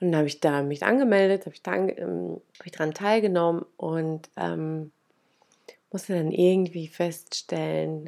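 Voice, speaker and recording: A woman's fairly low voice at a fairly slow pace. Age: 30s. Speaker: podcast host, manifestation coach. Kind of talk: personal story monologue. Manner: casual, many filler sounds.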